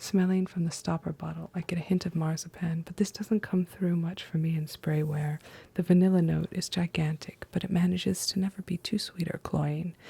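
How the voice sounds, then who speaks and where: Soft-spoken, the speaker goes at a moderate pace. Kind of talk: ASMR perfume review. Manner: soft-spoken, quiet.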